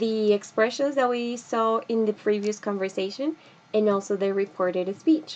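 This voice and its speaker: A plain, everyday voice from a woman, fairly high-pitched, with ordinary pitch variation at a fairly slow pace. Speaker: English teacher. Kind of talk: lecture. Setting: video recording with screen presentation.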